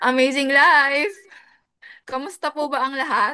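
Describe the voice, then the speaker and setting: Projected and raised, a woman's high, bright, sharp voice moves at a moderate pace. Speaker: business coach, former teacher. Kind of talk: business opportunity seminar. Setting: video call. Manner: energetic.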